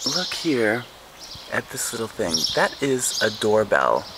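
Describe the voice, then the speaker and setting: A soft-spoken man talks at a very slow pace. There is noticeable background noise. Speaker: English teacher and vlogger. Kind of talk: casual video tour. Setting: outdoors on a street. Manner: soft-spoken, speaking quietly; exaggerated mouth movement, clear articulation.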